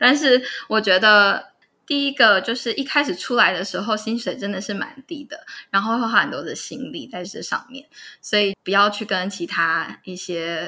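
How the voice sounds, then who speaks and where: A woman speaks at a moderate pace with a fairly high pitch and a bright, sharp tone. The recording is very clean, with a silent background. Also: lively intonation. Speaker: psychotherapist. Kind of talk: interview.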